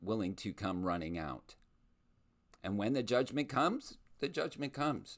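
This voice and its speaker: Recorded very cleanly with a silent background, a man at medium pitch shows vocal fry and very wide pitch swings. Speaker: podcast host and school-district advocate. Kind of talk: solo monologue podcast. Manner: passionate, emphatic; halting with repeated words.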